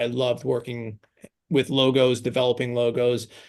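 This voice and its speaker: The speaker talks at a moderate pace with a slight New York accent. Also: man. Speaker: branding agency founder. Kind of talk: podcast interview.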